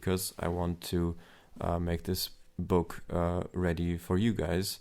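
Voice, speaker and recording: With a German accent, a man speaks in a very deep, low pitch with a dark, mellow tone. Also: very clean recording, silent background. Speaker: aspiring novelist and vlogger. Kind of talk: casual vlog monologue. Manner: hesitant, many fillers.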